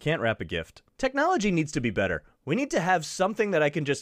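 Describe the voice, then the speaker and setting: A man's voice swings very widely in pitch, heard in a dry, close sound with no echo. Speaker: podcast host. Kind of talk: casual solo podcast chat. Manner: fast talker.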